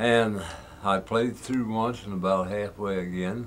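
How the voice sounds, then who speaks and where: With an American accent, a man speaks very slowly at a fairly low pitch amid audible room echo. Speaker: old-time fiddler. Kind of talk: casual storytelling.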